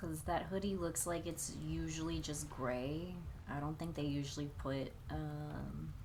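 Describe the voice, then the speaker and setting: A woman mumbles at a fairly slow pace with very even loudness, and room echo can be heard. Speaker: streamer and artist. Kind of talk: casual live stream chat while drawing. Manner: mumbly.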